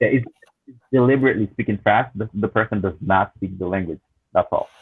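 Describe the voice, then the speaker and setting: This is an ordinary speaking voice. It moves at a fairly quick pace with ordinary pitch variation. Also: man, fairly low pitch for a man. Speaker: language teacher. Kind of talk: panel discussion.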